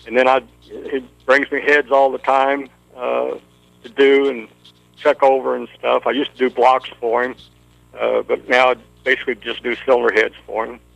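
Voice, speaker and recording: The sound is dry and close with no echo, and the speech moves at a moderate pace. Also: man. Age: 60s. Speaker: engine builder, racing hall of fame inductee. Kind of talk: interview. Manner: halting.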